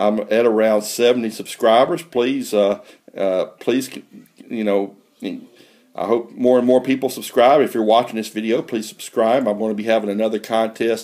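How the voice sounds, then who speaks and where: A man with an American accent talks at a moderate pace, his dark, mellow voice at medium pitch with fairly even intonation. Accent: redneck. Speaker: coin collecting youtuber. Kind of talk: casual video vlog. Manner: halting, many fillers; rambling.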